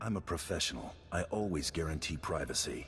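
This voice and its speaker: Over clear background noise, a man speaks at a fairly quick pace in a put-on character voice pitched very deep and low. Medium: video game. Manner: terse, cool.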